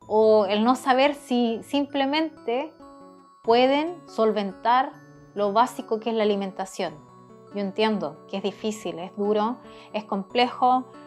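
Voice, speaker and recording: Over music in the background, a woman speaks very slowly in a calm tone, her pitch fairly high with ordinary pitch variation. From South America. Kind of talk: casual talk to camera. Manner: calm, encouraging.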